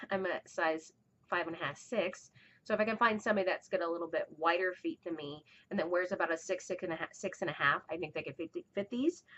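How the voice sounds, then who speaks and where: A woman mumbles at a very fast pace. Her pitch sits in the medium range. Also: ordinary pitch variation. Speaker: fiber arts podcaster. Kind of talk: casual chat. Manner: mumbling; halting.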